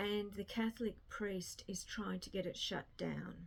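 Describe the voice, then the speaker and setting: A woman's very slow speech in an Australian accent. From rural Australia. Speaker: book vlogger. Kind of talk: casual chat. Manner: casual, rambling with repetitions.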